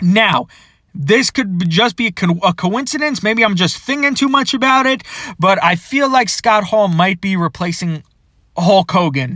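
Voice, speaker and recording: A man speaks in a raised, projected, animated voice with a bright, sharp tone, a high pitch and lively intonation. The sound is dry and close with no echo, on a very clean recording with a silent background. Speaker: toy collecting youtuber. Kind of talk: casual video commentary. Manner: fast.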